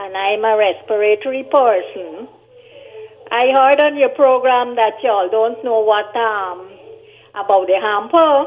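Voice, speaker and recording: A woman talks at a fairly slow pace. Her fairly high voice shows ordinary pitch variation. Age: 60s. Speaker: caller. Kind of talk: phone-in request. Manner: halting.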